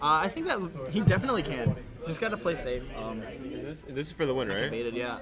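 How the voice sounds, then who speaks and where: Clear music plays in the background as a man speaks at a fairly quick pace with lively intonation. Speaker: tournament player and guest commentator; tournament stream commentator. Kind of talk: live commentary. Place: classroom. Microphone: studio mic.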